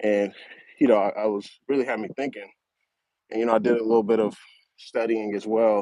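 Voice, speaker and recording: Relaxed and at a moderate pace, a man speaks in a dark, mellow tone. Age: 30s. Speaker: finance channel host. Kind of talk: casual vlog monologue. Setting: outdoors on a high school track. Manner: relaxed, filler-heavy.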